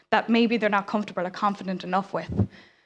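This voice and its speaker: A woman talks in an Irish accent. Her pace is very fast. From Ireland. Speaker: science communicator. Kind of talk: conference talk.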